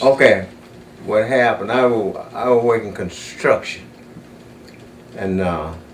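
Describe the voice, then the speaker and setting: A man with a Southern US accent at a medium pitch, ordinary pitch variation and a fairly slow pace, with long, frequent pauses and noticeable background noise. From South Carolina. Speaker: retired factory supervisor. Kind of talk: oral history interview answer.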